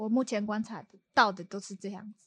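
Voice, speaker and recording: There is a quiet background and a dry, close sound with no echo as a woman with a Taiwanese accent talks at a moderate pace and a medium pitch. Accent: Taiwanese Mandarin. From Taiwan, Kaohsiung. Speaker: bridal stylist. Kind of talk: casual chat. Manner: nervous.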